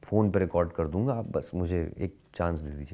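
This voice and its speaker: The man speaks with ordinary pitch variation. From Lucknow, India. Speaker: actor. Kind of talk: interview answer.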